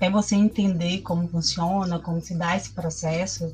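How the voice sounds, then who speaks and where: A woman speaks with music in the background. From Northeast Brazil (Bahia). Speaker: university student and teaching assistant. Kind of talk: casual chat. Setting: at home.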